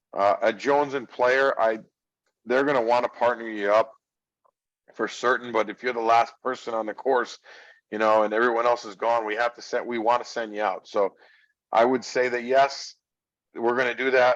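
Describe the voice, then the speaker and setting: Against a quiet background, the speaker goes at a moderate pace in a monotone, flat intonation, leaving long, frequent pauses. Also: man, medium pitch for a man. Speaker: golf director. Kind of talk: informational session Q&A. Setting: video call. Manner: loud.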